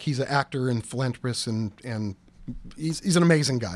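Speaking at a moderate pace in a plain, everyday voice, a man with a medium pitch is heard on a very clean recording against a silent background. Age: 40s. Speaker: company CEO. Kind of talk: interview.

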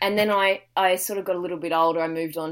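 With an Australian accent, a woman of fairly low pitch talks at a fairly quick pace in monotone, flat intonation. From Australia, Victoria (Dandenong Ranges). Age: 20s. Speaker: young adult novelist. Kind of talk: podcast interview.

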